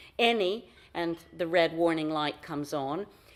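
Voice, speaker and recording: A woman with an American accent has an unremarkable speaking voice, fairly low in pitch with ordinary pitch variation. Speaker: foundation director, workshop facilitator. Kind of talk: conference talk.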